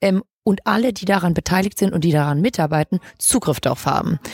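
A woman speaks at a very fast pace in a dry, close recording with no echo. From Hamburg, northern Germany. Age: 20s. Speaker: legal tech entrepreneur. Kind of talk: interview.

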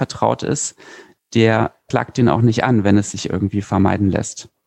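A man with a medium pitch and a dark, mellow tone at a moderate pace, with a dry, close sound and no echo. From Berlin, Germany. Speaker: lawyer and startup founder. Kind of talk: interview. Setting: remote recording.

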